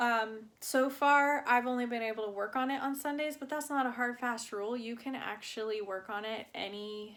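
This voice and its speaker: Fairly even intonation and a moderate pace mark a normal speaking voice. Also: woman. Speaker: cross-stitch vlogger. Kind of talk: casual chat. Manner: relaxed, many fillers.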